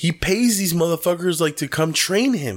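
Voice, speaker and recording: In a very clean recording with a silent background, a man with a high pitch talks at a moderate pace. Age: 20s. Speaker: podcast co-host. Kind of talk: casual chat. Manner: animated.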